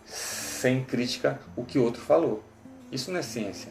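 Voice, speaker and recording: The speech moves at a moderate pace. Room echo is audible, and music plays in the background. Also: man. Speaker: teacher. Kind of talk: lecture.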